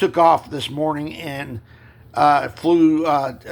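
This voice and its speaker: Lively in intonation, a man speaks at a very slow pace. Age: 60s. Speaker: video blogger on paranormal topics. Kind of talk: casual monologue. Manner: halting, many fillers.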